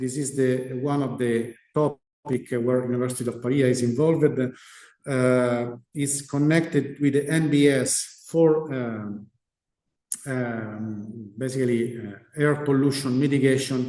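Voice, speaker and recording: A man with an Italian accent speaks at medium pitch and a fairly slow pace. His intonation is fairly even, and the room echo is audible. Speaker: research scientist. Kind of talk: lecture. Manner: halting.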